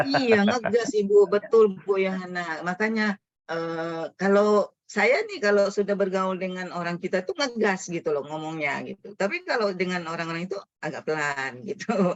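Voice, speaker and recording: In an unremarkable speaking voice, a woman talks at a moderate pace with medium pitch and ordinary pitch variation. She hardly pauses. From Riau, Indonesia. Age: 50s. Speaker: educator, foundation founder. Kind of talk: webinar talk.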